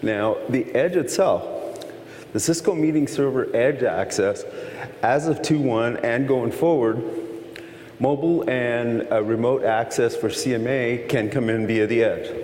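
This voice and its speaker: With an American accent, a man speaks fairly slowly at a medium pitch, with ordinary pitch variation and very even loudness, amid audible room echo and noticeable background noise. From Texas. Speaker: conference presenter, tech engineer. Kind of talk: technical lecture. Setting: conference session with audience.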